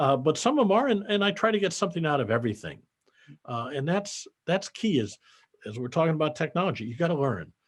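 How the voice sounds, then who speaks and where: Against a quiet background, a man with a fairly high pitch and vocal fry speaks very fast, his pitch swinging very widely. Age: 70s. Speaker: accountant and business founder. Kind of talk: interview conversation.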